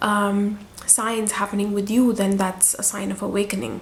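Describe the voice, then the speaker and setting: Through noticeable background noise, a woman speaks at a moderate pace and a medium pitch in a monotone, flat intonation. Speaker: spiritual guide. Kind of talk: casual talk to camera. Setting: at home. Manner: hesitant, many fillers.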